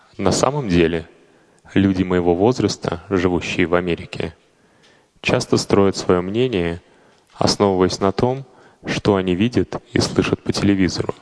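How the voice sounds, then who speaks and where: A man speaks with a very deep, low pitch and ordinary pitch variation. His loudness stays very even, broken by long, frequent pauses. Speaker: fellow podcaster voicing a translation. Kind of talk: reading aloud.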